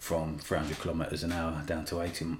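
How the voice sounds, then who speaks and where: A man's very deep, low voice, somewhat breathy. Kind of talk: casual chat. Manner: conversational, repeats phrases.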